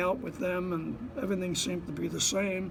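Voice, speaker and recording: Someone speaks at a fairly slow pace in a New Jersey accent. Noticeable background noise runs underneath. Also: man. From Bayonne, New Jersey. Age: 80s+. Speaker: Korean War veteran, Marine. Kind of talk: interview answer.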